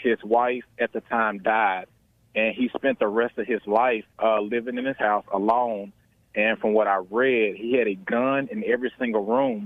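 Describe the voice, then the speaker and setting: In an American accent, a man talks at a moderate pace and medium pitch with monotone, flat intonation. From US South. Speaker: caller. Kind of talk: phone-in call. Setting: phone call.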